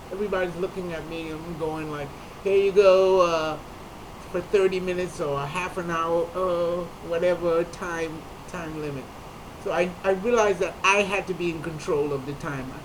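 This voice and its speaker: High-pitched man at a moderate pace with fairly even intonation and noticeable background noise. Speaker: comedian. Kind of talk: personal talk to camera.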